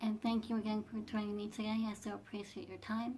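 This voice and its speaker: Somewhat breathy, a woman with a fairly high pitch talks at a fairly quick pace. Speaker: fashion vlogger. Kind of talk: casual talk to camera. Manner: soft-spoken; hesitant, repeats words.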